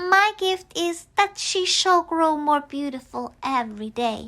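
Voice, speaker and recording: In a put-on character voice, the speaker uses a high pitch at a fairly slow pace. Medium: read story. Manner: warm, friendly.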